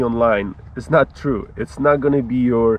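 Dry sound with no echo, a man, a fairly slow pace. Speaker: travel vlogger. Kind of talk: casual vlog chat. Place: open country.

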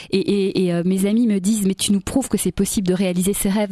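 With a dark, mellow tone and ordinary pitch variation, a woman speaks somewhat breathily in a dry sound with no echo against a quiet background. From Belgium (Brussels); Belgium. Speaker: singer and stage performer; interviewee. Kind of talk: radio interview. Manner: animated. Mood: warm, enthusiastic. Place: studio. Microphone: studio mic.

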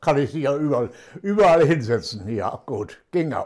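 A man speaks with a dark, mellow tone and lively intonation. The background is quiet. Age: 80s+. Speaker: retired teacher. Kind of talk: interview answer. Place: home room.

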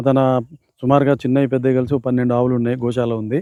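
A man's voice has a dark, mellow tone at medium pitch. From Telangana, Rangareddy district. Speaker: retired official and organic farmer. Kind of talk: farm tour explanation.

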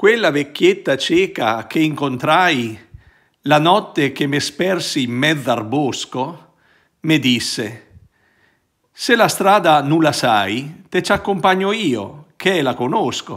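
The speaker goes very slowly with lively intonation and long, frequent pauses, against a quiet background. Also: man, fairly high pitch for a man. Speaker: priest. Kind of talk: reading aloud a poem in Roman dialect, then reflective commentary. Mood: warm, smiling. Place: home room. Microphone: phone near.

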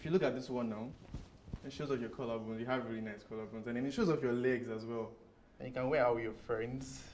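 A man speaks at a very fast pace, his intonation fairly even, with light background noise underneath. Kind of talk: scripted drama dialogue. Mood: shy, tentative compliments. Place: shop.

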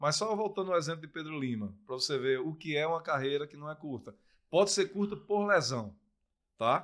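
A man with a strong northeastern Brazilian accent talks at a fairly quick pace and fairly high pitch, with lively intonation and big swings in loudness. The background is quiet. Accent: thick northeastern Brazilian. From Brazil, Pernambuco interior (Surubim); Pernambuco, Brazil. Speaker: sports commentator and former footballer; sports commentator. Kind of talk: casual interview chat. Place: studio. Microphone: studio mic.

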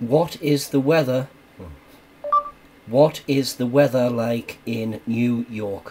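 Light background noise sits under very slow speech broken by long, frequent pauses. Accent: Geordie. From Newcastle area, North East England. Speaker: phone tester. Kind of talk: voice commands to phone. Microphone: camera far.

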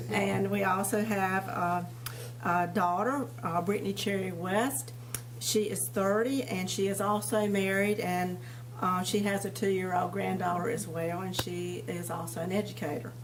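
Over noticeable background noise and audible room echo, a woman with an eastern North Carolina accent speaks at a moderate pace. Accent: US Southern (eastern North Carolina). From eastern North Carolina, Tarboro. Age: 60s. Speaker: retired dental hygienist, board appointee candidate. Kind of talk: prepared statement at public board meeting.

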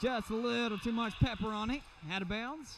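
Noticeable background noise behind a man's high voice. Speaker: volleyball commentator. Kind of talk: live sports commentary, play-by-play. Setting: arena with crowd, courtside.

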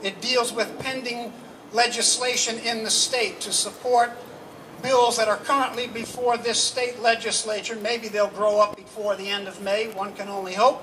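In a raised, projected voice, the speaker talks with monotone, flat intonation over light background noise. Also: man. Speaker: anti-death-penalty activist speaker. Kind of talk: rally speech. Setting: stage with audience at a rally. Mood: earnest, indignant. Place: street. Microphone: handheld.

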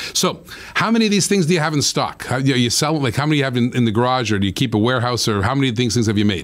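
Talking at a very fast pace, a man uses an animated tone and lively intonation against a quiet background. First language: not English. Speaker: show host. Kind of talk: live interview show. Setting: live broadcast from Florida. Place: studio. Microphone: studio mic.

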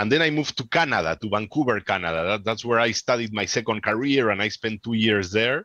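A man's very fast, bright, sharp voice with a Peruvian accent, hardly any pauses, ordinary pitch variation, and a dry sound with no echo against a quiet background. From Peru, Lima. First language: Spanish. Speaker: amateur radio presenter; radio presenter. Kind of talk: conference Q&A. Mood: chatty, animated. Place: home room. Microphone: headset.

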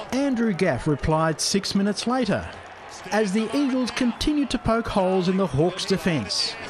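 In an Australian accent, a man with a high pitch and lively intonation talks at a moderate pace and very even loudness, over noticeable background noise. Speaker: sports news presenter. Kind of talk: scripted sports news recap voiceover. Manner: brisk, formal, even-paced narration.

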